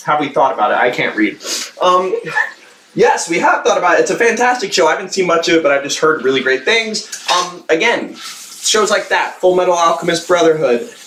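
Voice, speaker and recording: A man speaks fairly quickly at a high pitch with lively intonation. Noticeable background noise runs underneath. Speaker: YouTube reaction channel host. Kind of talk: casual livestream chat while cooking. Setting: livestream.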